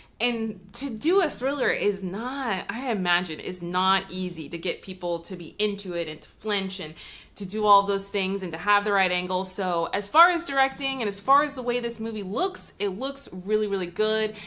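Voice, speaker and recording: A woman's animated, medium-pitched voice with lively intonation, big swings in loudness, hardly any pauses and noticeable background noise. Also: moderate pace. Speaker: movie reviewer. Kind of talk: casual vlog review.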